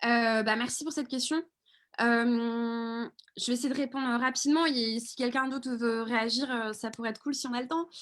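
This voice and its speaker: Her pitch high and her intonation fairly even, a woman is speaking. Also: moderate pace. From Paris region, France. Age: 20s. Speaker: video reporter and activist. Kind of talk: live Q&A answer. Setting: video call livestream. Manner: hesitant, many fillers.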